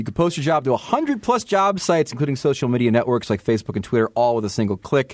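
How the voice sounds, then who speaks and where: A man with an American accent talks very fast, his tone animated and his intonation lively. The sound is dry and close, with no echo. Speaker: hockey podcast host and sports writer. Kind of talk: casual chat. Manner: animated, jokey.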